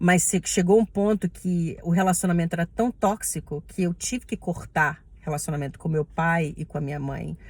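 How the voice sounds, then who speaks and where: A woman's fairly low, somewhat breathy voice in a Brazilian accent, moderate in pace, with ordinary pitch variation. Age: 30s. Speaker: respiratory therapist. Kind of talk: personal vlog monologue.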